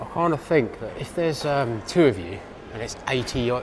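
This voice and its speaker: Faint music plays in the background. A man with an English accent speaks with ordinary pitch variation. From England. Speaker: travel vlogger. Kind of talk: vlog narration. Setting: airport lounge. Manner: hesitant, many fillers. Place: station. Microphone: phone near.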